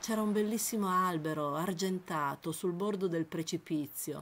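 Fairly slow speech from a woman, an ordinary speaking voice with ordinary pitch variation. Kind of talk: literary audiobook reading, first-person memoir-like narration. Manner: measured, evocative, lyrical narration.

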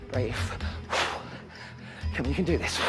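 A man's voice with clear music playing behind it. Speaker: fitness instructor. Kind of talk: workout class instruction. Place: studio.

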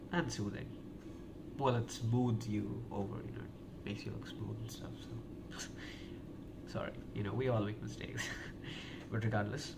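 A man speaks at a moderate pace with ordinary pitch variation, leaving long, frequent pauses over loud background noise. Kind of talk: soft-spoken ASMR role-play. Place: home room. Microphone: phone near.

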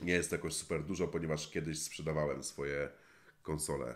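A man talks with a very deep, low pitch and vocal fry. His intonation stays fairly even. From Poland, Warmia-Masuria; Poland. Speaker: gaming YouTuber. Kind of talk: Q&A answering viewer questions. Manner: casual, colloquial. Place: home room.

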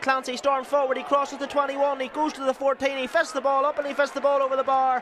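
Very fast and animated, a man talks over noticeable background noise. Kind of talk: live sports commentary. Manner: fast, rapid-fire play-by-play delivery; animated, excitable, building with the action.

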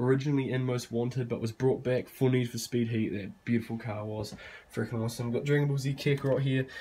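A man with a dark, mellow tone speaks at a very fast pace in a somewhat breathy voice. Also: medium pitch for a man. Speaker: gaming YouTuber. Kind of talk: setup tour. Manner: casual, energetic.

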